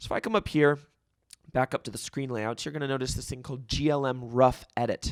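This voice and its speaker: A man at medium pitch, talking very fast with ordinary pitch variation, in a dry, close sound with no echo. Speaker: video editor and ministry member. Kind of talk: tutorial. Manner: casual, hesitant with fillers.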